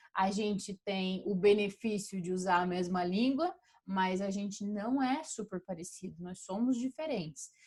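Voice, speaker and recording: A woman speaks at a fairly slow pace in a somewhat breathy, medium-pitched voice with ordinary pitch variation. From Brazil, Curitiba. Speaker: professor. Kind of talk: lecture. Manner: animated.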